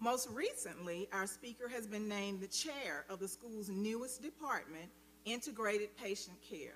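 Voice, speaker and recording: A woman at a fairly high pitch with ordinary pitch variation and a moderate pace, over noticeable background noise. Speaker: speaker's mother. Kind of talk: formal speaker introduction. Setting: church sanctuary.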